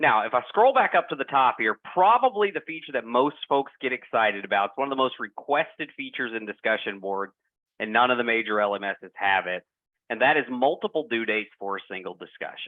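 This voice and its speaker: Speaking with a strong Southern US accent, a man keeps a fairly quick pace. His medium-pitched voice has lively intonation. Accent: heavy Southern US. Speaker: product presenter. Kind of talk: software demo presentation. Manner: hesitant, many fillers.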